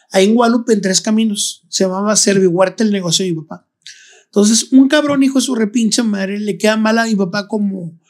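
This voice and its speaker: A man's high-pitched voice, fairly quick pace, ordinary pitch variation. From Monterrey, northern Mexico. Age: 40s. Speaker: children's clown. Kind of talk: casual chat.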